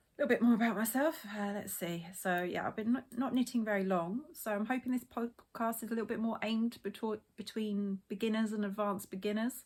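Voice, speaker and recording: Heard in a very clean recording with a silent background, a woman with a British accent speaks at a moderate pace with ordinary pitch variation. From England, Essex. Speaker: knitting podcaster. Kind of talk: casual podcast chat. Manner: hesitant, filler-heavy.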